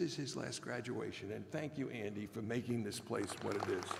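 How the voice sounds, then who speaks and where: There is noticeable background noise behind this man. He talks at a moderate pace with an American accent. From New York City (Brooklyn). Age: 80s+. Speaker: commencement speaker, former law professor. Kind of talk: commencement address.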